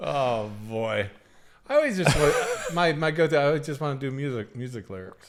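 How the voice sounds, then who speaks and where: A man with a fairly high pitch, very wide pitch swings and big swings in loudness, over noticeable background noise. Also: moderate pace. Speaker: podcast co-host. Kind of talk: casual chat.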